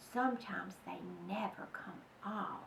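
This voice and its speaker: Using a put-on character voice, a woman speaks at a fairly high pitch and a moderate pace against clear background noise. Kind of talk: bedtime story. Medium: read story. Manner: calm, matter-of-fact.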